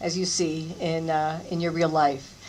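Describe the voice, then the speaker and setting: Noticeable background noise and audible room echo surround a woman speaking at a fairly low pitch. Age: 60s. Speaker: style icon. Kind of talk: panel Q&A after screening.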